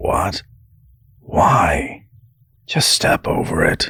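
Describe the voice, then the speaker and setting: The voice is raspy. It belongs to a man doing a put-on character voice. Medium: read story. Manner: cautious, exasperated.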